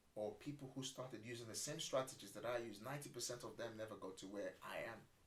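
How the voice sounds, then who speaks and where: Somewhat breathy male speech at a fairly quick tempo. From Nigeria. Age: 40s. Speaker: property entrepreneur. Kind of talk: podcast interview.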